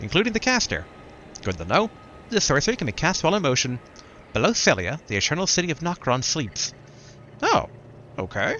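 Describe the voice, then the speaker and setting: A man with a fairly high pitch talks at a fairly quick pace, his pitch swinging very widely. Long, frequent pauses break up his speech over noticeable background noise. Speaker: gaming streamer. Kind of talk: let's play commentary. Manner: reading item descriptions aloud.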